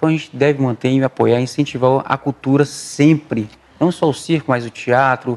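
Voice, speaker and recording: This man uses a normal speaking voice with ordinary pitch variation. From Brazil, traveling circus family, born in Pernambuco. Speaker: circus performer. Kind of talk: interview.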